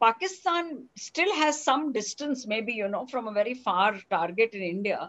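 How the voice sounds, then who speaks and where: A woman talks at a fairly slow pace, her pitch swinging very widely. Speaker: interviewer. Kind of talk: interview. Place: home room. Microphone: headset.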